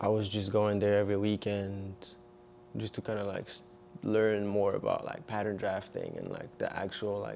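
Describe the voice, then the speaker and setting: In a French accent, a man delivers his words at a moderate pace with a fairly low pitch and monotone, flat intonation. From eastern France. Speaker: fashion designer and model. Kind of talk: casual chat. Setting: studio.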